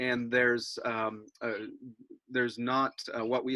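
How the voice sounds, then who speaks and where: A man speaks at a medium pitch in a bright, sharp tone. His intonation is monotone and flat, and the sound is dry and close with no echo. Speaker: environmental campaigner. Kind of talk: webinar presentation.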